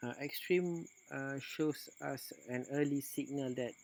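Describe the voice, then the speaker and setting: A man speaks with a non-native accent. His intonation stays fairly even. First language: non-native English speaker. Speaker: forex trader. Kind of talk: screen-recorded trading tutorial. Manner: hesitant, many filler sounds.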